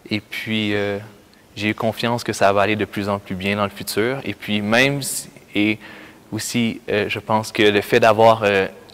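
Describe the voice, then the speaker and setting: Speaking fairly slowly with a Quebec accent, a man with a fairly low pitch delivers his words in a monotone, flat intonation. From Quebec, Canada. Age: 20s. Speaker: youth camp worker. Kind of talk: personal testimony. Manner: halting, many hesitations.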